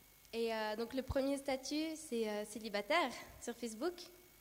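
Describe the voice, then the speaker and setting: The woman has a high pitch. Her pace is fairly slow. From Brazil. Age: 20s. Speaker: church youth leader and nursing student. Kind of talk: sermon with personal testimony.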